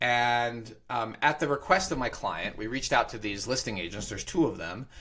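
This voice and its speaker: A man with an American accent speaks at medium pitch. His tone is bright and sharp, and his pace is very fast. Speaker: real estate broker and podcast host. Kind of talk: podcast conversation. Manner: animated.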